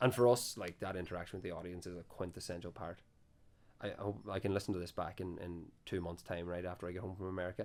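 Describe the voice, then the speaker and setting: A man with a Donegal accent talks at a very fast pace in a very deep, low pitch with fairly even intonation, on a very clean recording with a silent background. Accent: Donegal Irish. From Ireland, Donegal. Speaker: folk band musician. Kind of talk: casual chat. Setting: after a gig at a venue.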